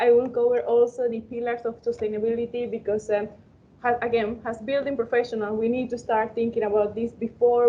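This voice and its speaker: This voice is in a Spanish accent. Its intonation is monotone and flat. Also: woman. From Panama. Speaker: architectural engineering student. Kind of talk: webinar presentation. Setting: online webinar. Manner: halting.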